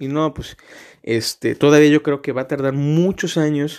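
A man's fairly slow speech sits on a very clean recording against a silent background. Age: 20s. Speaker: podcast host, law student. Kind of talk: casual monologue. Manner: filler-heavy, hesitant.

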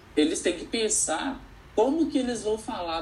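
Against noticeable background noise, a man talks in a high pitch with very wide pitch swings. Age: 20s. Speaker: educator. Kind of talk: interview conversation.

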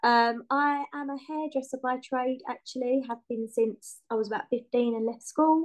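A woman with a southern English accent speaks at a high pitch and moderate pace, her intonation fairly even. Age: 30s. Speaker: home-educating mother and hairdresser. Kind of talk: casual chat.

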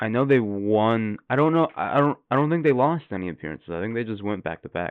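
The man's pitch sits in the medium range but makes very wide swings. He goes at a fairly quick pace with hardly any pauses. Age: 20s. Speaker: podcast co-host. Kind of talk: casual chat.

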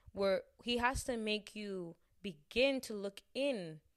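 A woman with an American accent speaks in an animated, cheerful tone at a fairly high pitch, with ordinary pitch variation, on a very clean recording with a silent background. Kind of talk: casual devotional talk.

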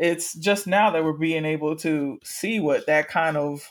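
A woman's fairly low voice, a normal speaking voice with an American accent, at a fairly slow pace with fairly even intonation, in a very clean recording with a silent background. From US South, Miami, Florida. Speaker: podcast host. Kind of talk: casual chat.

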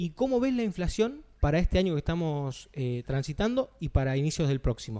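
A man with a fairly high pitch and a dark, mellow tone speaks at a fairly quick pace with lively intonation. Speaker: radio show co-host. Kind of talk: interview.

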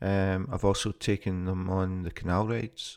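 Speaking in a very deep, low pitch, a man with a Scottish accent uses monotone, flat intonation. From Scotland. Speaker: podcaster and city guide. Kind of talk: unscripted monologue. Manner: casual, hesitant with fillers.

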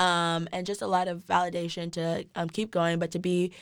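A woman with an American accent speaks at a fairly low pitch in a flat monotone. The recording is very clean, with a silent background. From Texas, Dallas. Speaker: university student. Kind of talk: podcast interview. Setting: studio.

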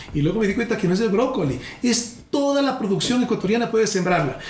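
Talking at a fairly quick pace, a man with a high-pitched voice is heard through noticeable background noise and audible room echo. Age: 40s. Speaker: presidential candidate. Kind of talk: political interview in a comedy podcast.

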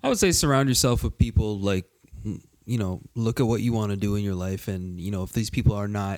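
A man with a plain, everyday voice speaks at a fairly quick pace with a fairly low pitch and ordinary pitch variation. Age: 20s. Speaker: panelist. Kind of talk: casual chat.

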